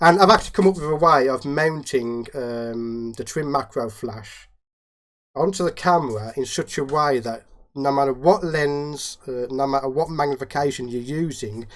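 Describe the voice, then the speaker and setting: Very clean, silent-background recording of a man at a fairly high pitch. His pace is moderate and his pitch variation ordinary. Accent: Midlands. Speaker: macro photographer and YouTuber. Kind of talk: casual interview chat.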